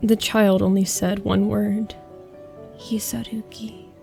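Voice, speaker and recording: Background music plays behind a woman's voice. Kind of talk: horror story narration. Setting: home recording with fan noise.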